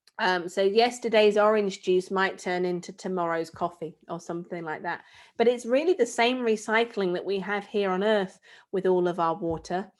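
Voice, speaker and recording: A woman with a British accent talks at a moderate pace and medium pitch. The recording is very clean, with a silent background. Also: ordinary pitch variation. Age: 30s. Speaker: space expert and author. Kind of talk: talk to children.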